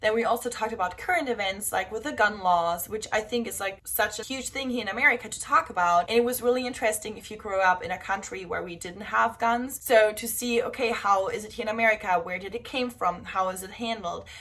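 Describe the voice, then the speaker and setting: A woman with a German accent speaks very fast at a fairly high pitch, with hardly any pauses, ordinary pitch variation and big swings in loudness. Background noise is noticeable. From southern Germany, Bavaria (Augsburg). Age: 20s. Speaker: au pair and vlogger. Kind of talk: casual vlog talk.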